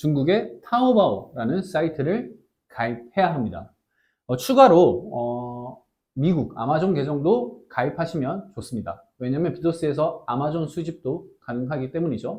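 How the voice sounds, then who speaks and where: The voice has a dark, mellow tone and is somewhat breathy. It moves at a fairly slow pace with lively intonation. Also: man, fairly high pitch for a man. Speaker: online business instructor. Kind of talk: tutorial. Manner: hesitant, many fillers.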